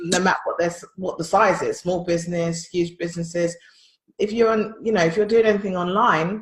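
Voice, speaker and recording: Speaking with a London accent, a woman has a fairly low pitch. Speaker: podcast co-host, business consultant. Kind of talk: casual chat.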